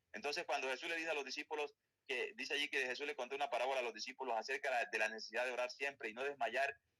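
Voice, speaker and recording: A bright, sharp tone with a Colombian accent comes through in a dry, close sound with no echo. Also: man. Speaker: Bible teacher. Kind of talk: Bible study lecture. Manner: fast.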